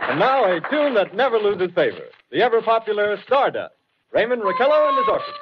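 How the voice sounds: A man uses a put-on character voice, high-pitched with a slightly husky edge. He talks at a fairly quick pace with big pitch swings.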